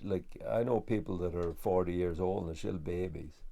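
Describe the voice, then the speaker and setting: A man speaks in a western Irish accent with ordinary pitch variation. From west of Ireland. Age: 60s. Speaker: farmer. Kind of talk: documentary interview. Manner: halting.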